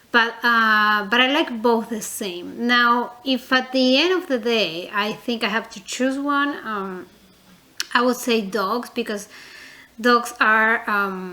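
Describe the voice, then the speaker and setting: At a very slow pace, a woman with a non-native accent and a fairly high pitch speaks with ordinary pitch variation over noticeable background noise. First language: not English. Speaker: reborn doll collector vlogger. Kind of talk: casual vlog, tag video. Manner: hesitant, many fillers; chatty, talkative.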